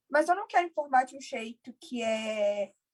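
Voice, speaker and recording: A woman speaks at a fairly slow pace. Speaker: deaf cochlear implant user, content creator. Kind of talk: casual conversation in a live stream.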